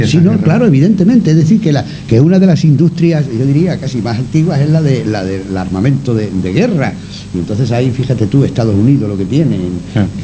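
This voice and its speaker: Over noticeable background noise, a man at medium pitch speaks with very wide pitch swings. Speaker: radio broadcaster. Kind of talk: radio interview answer.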